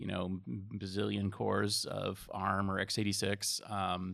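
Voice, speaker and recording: Vocal fry runs through this American-accented voice on a very clean recording with a silent background. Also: man. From Massachusetts. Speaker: IT industry analyst. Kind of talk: casual interview chat.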